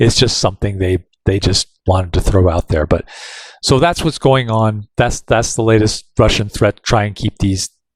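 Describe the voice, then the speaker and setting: A man speaks at a fairly low pitch with ordinary pitch variation and a somewhat breathy voice. The sound is dry and close, with no echo. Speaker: news digest host. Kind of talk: casual, conversational. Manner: fast talker.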